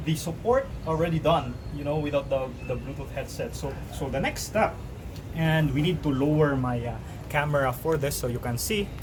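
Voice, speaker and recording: Over noticeable background noise and audible room echo, a man with a fairly high voice talks at a moderate pace with ordinary pitch variation. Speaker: YouTuber doing product unboxing. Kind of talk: casual unboxing tutorial. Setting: outdoors on a balcony. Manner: softer, toned down.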